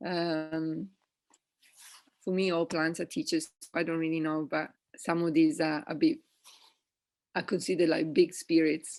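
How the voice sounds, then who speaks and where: Speaking fairly slowly with long, frequent pauses, a woman with an Italian accent uses a fairly low pitch and fairly even intonation against a quiet background. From Italy. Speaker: evolutionary ecologist. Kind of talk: interview answer.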